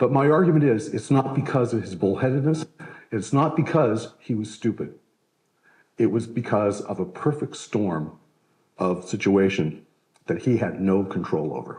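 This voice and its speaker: A man's medium-pitched voice, dark, mellow and somewhat breathy, moves at a moderate pace with lively intonation. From Canada. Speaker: historian. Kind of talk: lecture. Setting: stage with live audience. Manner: conversational, with fillers.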